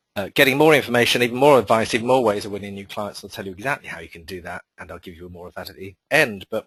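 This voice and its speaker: Talking at a very fast pace, a man speaks with a British accent. The sound is dry and close, without any echo. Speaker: marketing consultant and webinar presenter. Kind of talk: webinar presentation. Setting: online webinar.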